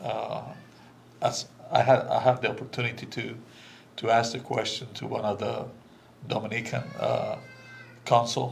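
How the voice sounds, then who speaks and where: With a Spanish accent, a man speaks at a moderate pace and medium pitch in a flat monotone, with audible room echo and noticeable background noise. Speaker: immigrant guest speaker. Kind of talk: candid conversation. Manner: halting, many fillers.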